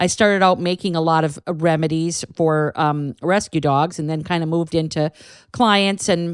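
A woman with an ordinary speaking voice talks at a moderate pace in a fairly low pitch, with fairly even intonation. The recording is very clean with a silent background, and the sound is dry and close with no echo. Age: 50s. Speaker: canine herbalist podcast host. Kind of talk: solo educational monologue. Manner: casual, chatty.

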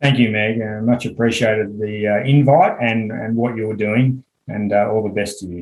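The speaker has an Australian accent and fairly even intonation. The pace is moderate, with hardly any pauses. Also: man, fairly low pitch for a man. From Western Australia. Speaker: clinical psychologist. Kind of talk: casual interview.

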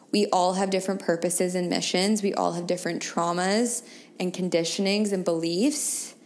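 A woman's fairly even intonation over noticeable background noise. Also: medium pitch for a woman, moderate pace. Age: 30s. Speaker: spiritual wellness podcast host. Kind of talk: solo monologue, personal reflection.

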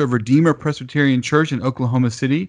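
A man with an unremarkable speaking voice talks at a medium pitch and a moderate pace against a quiet background. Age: 30s. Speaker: podcast host. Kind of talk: interview.

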